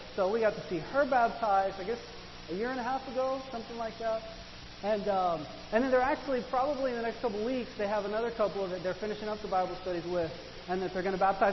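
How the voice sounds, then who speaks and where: Amid noticeable background noise and audible room echo, a man talks very fast in a high voice with ordinary pitch variation. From Argentina. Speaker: pastor. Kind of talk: sermon.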